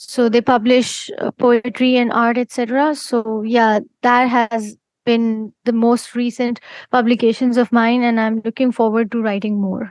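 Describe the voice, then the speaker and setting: Speaking at a fairly slow pace with an Indian accent, a woman holds a monotone, flat intonation in a dry, close recording with no echo. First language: Hindi. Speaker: poet. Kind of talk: interview. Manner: halting, with frequent fillers.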